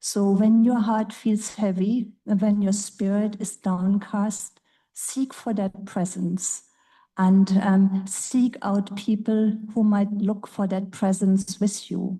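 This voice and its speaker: A woman with a German accent at a medium pitch, somewhat breathy, with a dark, mellow tone, monotone, flat intonation and a very slow pace, over a quiet background. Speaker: Zen meditation teacher. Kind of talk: panel talk.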